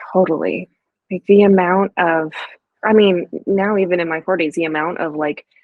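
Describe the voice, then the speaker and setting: A woman speaks fairly slowly, her pitch varying in an ordinary way. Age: 40s. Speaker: therapist and podcast host. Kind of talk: podcast interview.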